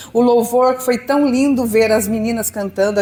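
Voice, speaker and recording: Noticeable background noise sits behind a woman's high voice. She speaks at a moderate pace with ordinary pitch variation. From southern Brazil. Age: 60s. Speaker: pastor. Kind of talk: sermon.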